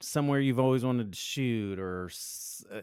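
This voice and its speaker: A man with a plain, everyday voice speaks at a medium pitch. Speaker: photographer and co-host. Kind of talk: casual chat.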